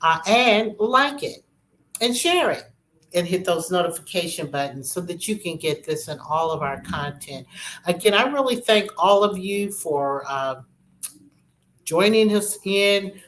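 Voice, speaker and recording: A woman's unremarkable speaking voice, medium in pitch, fairly slow, with lively intonation. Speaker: real estate show host. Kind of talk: informational talk.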